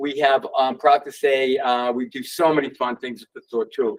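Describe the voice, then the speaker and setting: Speaking at a moderate pace with a Boston accent, a man is heard in a dry, close sound with no echo. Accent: New England (Boston area). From Massachusetts (Worcester). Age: 60s. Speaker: sneaker store owner. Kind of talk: talk to audience. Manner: animated; halting.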